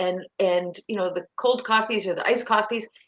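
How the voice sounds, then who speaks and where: A woman's plain, everyday voice, fairly high in pitch with ordinary variation, at a moderate pace in a Canadian accent. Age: 60s. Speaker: nutrition coach. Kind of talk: interview.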